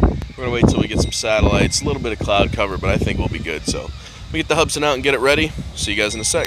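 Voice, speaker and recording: A man talks at a very fast pace. The sound is dry with no echo, with loud background noise. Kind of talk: casual vlog chat. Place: open country. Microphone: phone near.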